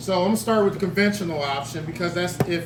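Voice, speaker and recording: Noticeable background noise and audible room echo accompany a man with a high pitch and ordinary pitch variation. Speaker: loan presenter at real estate seminar. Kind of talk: seminar presentation. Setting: room with live audience. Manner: energetic.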